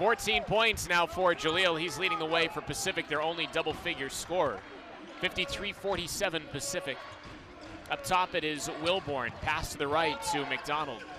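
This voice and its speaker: Animated in tone, a man speaks at a high pitch and a moderate pace with ordinary pitch variation, the sound dry with no echo and noticeable background noise behind him. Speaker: play-by-play announcer. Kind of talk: sports commentary. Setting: arena broadcast. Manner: animated, urgent. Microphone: headset.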